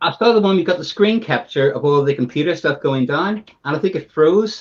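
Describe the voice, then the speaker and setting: This man talks with ordinary pitch variation. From Northern Ireland, Belfast. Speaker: live stream guest, fan. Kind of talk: casual chat.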